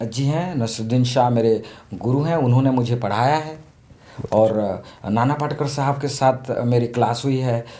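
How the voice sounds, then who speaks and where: Speaking with an Odia accent, a man has a medium-pitched voice with a dark, mellow tone. His intonation is fairly even, and audible room echo surrounds him. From Odisha, India (small village). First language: Odia (speaking Hindi). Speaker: theatre actor and director. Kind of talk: interview. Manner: halting, with many fillers.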